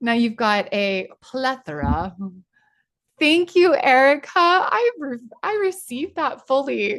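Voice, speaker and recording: A woman's high voice at a very slow pace, with very wide pitch swings. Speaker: spiritual coach leading online workshop. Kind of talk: guided group session; casual chat. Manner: animated.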